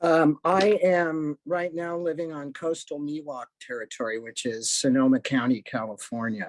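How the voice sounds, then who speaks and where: An unremarkable speaking voice, this man talks at a moderate pace with hardly any pauses, fairly high pitch, ordinary pitch variation and a dry, close sound with no echo. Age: 60s. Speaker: retired discrimination investigator and gender identity educator. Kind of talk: panel discussion.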